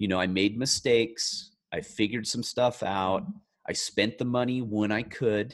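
At a moderate pace, a man talks in a normal speaking voice. His pitch is medium, with ordinary pitch variation. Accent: American. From rural California. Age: 40s. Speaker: self-help author. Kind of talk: interview.

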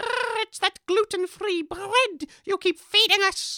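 An extremely high-pitched put-on character voice speaks at a fairly slow pace. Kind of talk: comic character acting. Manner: indignant, defensive, huffy.

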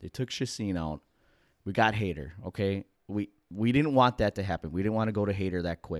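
Fairly low in pitch, a man talks at a fairly quick pace in an animated tone. The recording is very clean, with a silent background. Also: ordinary pitch variation. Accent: American. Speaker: sports podcast co-host. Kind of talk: casual chat.

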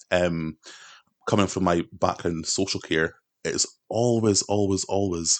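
Recorded dry and close with no echo, a man with a very deep, low voice speaks with fairly even intonation in a Scottish accent. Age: 20s. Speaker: political activist and carer. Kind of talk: casual chat.

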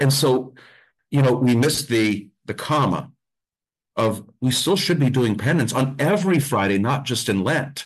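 A man with a central Pennsylvania accent speaks at a moderate pace in a medium-pitched, somewhat breathy voice, with an animated tone and ordinary pitch variation over a quiet background. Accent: central Pennsylvania American. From Pennsylvania, Mount Carmel. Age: 40s. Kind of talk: casual interview chat.

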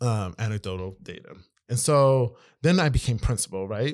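With an American accent, a man talks at a moderate pace and medium pitch in a very clean recording with a silent background. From Maryland, US. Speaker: former school principal. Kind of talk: casual interview chat.

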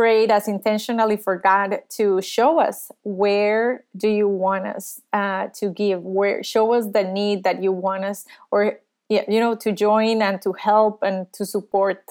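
In a Spanish accent, a woman with a fairly high pitch speaks at a fairly slow pace on a very clean recording with a silent background. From Costa Rica. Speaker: youth ministry worker and psychologist. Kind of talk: interview.

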